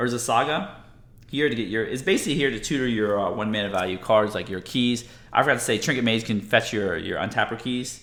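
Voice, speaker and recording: Over audible room echo, a man talks at a fairly quick pace in an animated tone, medium in pitch with ordinary pitch variation. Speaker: MTG deck tech YouTuber. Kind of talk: tutorial.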